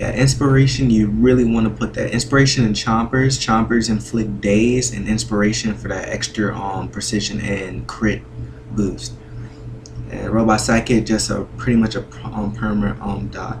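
A man speaks at a moderate pace with a fairly low pitch. His pitch varies in an ordinary way, and background noise is noticeable. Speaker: gaming video creator. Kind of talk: gameplay tutorial commentary. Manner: hesitant, many filler words.

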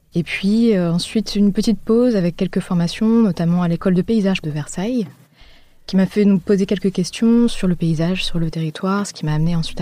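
A woman speaks in a normal speaking voice at a medium pitch. Her pace is fairly quick, with ordinary pitch variation. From Paris, France. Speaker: architect. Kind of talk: interview. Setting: around a table.

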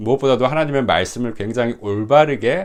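A man is speaking. His pace is moderate. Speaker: pastor. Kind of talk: testimony. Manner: hesitant fillers.

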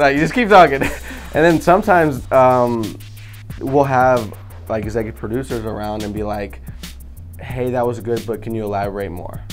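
Faint music plays behind a man who speaks at a moderate pace with lively intonation and long, frequent pauses. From Sacramento, California. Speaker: reality TV cast member. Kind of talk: casual interview answer. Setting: studio. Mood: relaxed, amused. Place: studio.

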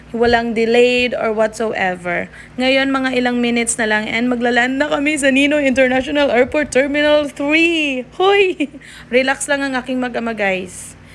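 A woman's high-pitched, animated voice at a moderate pace, with ordinary pitch variation. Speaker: family vlogger. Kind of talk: vlog voice-over.

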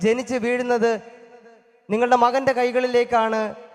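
Speaking with an extremely high pitch, a man keeps a monotone, flat intonation. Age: 20s. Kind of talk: thanksgiving speech at first Mass. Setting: church.

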